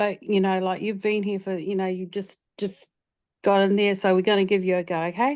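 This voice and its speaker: Against a quiet background, a woman of medium pitch talks at a fairly quick pace with monotone, flat intonation. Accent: New Zealand. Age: 60s. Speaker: retired film and television producer. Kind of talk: audience question in an online session, personal story. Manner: halting, many fillers and repeats.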